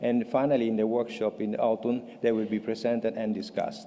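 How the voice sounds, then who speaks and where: In an Italian accent, a man talks at a moderate pace and medium pitch. His tone is dark and mellow, his intonation monotone and flat. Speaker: patient advocate. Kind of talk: conference presentation. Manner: halting.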